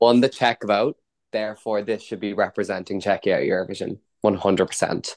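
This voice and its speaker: A man with an Irish accent at a moderate pace, fairly even intonation, dry, close sound with no echo. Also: fairly low pitch for a man. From Ireland. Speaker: podcast host. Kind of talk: casual chat.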